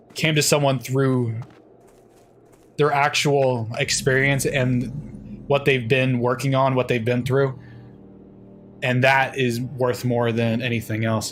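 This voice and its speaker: A man speaks at a very slow pace in a medium pitch, his intonation monotone and flat, his loudness very even, with long, frequent pauses. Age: 20s. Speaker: gaming streamer. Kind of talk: live game stream chat. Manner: casual, conversational.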